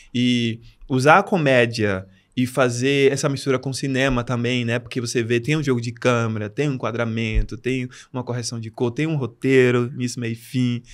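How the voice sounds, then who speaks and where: A man at a medium pitch and moderate pace, fairly even in intonation, on a very clean recording with a silent background. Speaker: English teacher and comedic content creator. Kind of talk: podcast interview. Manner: soft-spoken.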